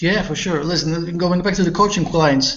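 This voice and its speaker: Audible room echo surrounds a man with a fairly high pitch and ordinary pitch variation. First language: not English. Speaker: online marketing coach. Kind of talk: casual interview chat. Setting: video call. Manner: halting, repeats words.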